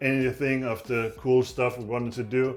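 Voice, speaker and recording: Over music in the background, a man with a Danish accent speaks at a fairly slow pace in a medium pitch, his intonation monotone and flat. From Denmark. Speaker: knife maker. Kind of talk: tutorial. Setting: workshop.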